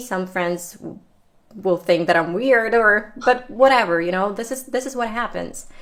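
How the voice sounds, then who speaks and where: A woman talks at a moderate pace. Her pitch is medium and varies in an ordinary way. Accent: Ukrainian. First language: Ukrainian. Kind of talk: casual chat.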